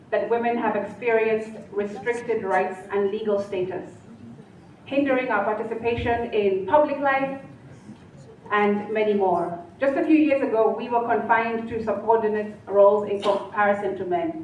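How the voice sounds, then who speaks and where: A woman speaks with a fairly high pitch and ordinary pitch variation at a moderate pace. Noticeable background noise can be heard behind her. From Kenya. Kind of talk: public speech at a colloquium.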